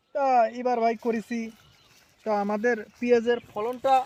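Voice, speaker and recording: Using ordinary pitch variation, a man talks at an extremely high pitch. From Bangladesh. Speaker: onion farmer, former migrant worker. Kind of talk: interview answers.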